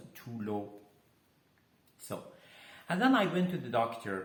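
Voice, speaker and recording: There is audible room echo as a man talks with lively intonation. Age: 60s. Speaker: health coach. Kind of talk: personal testimony and health talk. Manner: halting, many fillers.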